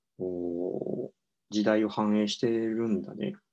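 A man talks at a medium pitch with a dark, mellow tone. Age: 30s. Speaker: psychiatrist, book podcast co-host. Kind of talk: casual book discussion. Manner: halting, many fillers.

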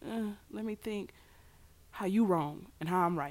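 On a very clean recording with a silent background, a woman talks at a moderate pace. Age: 20s. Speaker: podcast host. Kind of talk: personal monologue. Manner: rambling, conversational.

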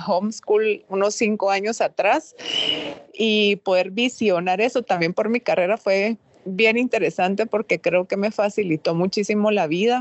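A woman speaks at a moderate pace with fairly even intonation while noticeable background noise runs behind her. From Guatemala. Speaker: business consultant. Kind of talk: podcast interview.

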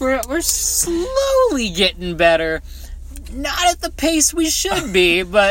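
Noticeable background noise sits behind the recording. A man with an American accent speaks at a very slow pace. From Southern California. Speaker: podcast co-host. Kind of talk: casual chat.

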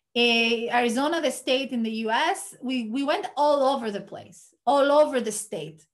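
A high-voiced woman talks rather slowly. Her intonation is lively. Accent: Greek. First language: Greek. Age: 30s. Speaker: podcast host. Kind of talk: casual chat.

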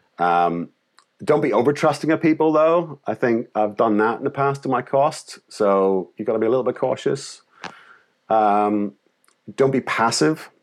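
On a very clean recording with a silent background, a man with a Northern Irish accent speaks at a moderate pace and medium pitch with lively intonation. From Northern Ireland. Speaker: creative director and agency founder. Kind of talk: interview conversation. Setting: call.

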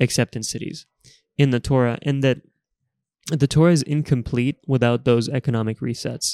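In a very clean recording with a silent background and a dry, close sound with no echo, a man speaks at a moderate pace and medium pitch in a dark, mellow tone, his intonation fairly even and his pauses long and frequent. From Bulgaria, moved to Texas at ten. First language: Bulgarian. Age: 20s. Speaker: consultant, podcast guest. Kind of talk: casual interview about faith and politics.

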